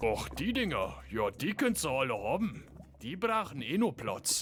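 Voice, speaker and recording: A man's cartoonish character voice at a fairly high pitch and moderate pace, over clear background noise. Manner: relaxed, laid-back.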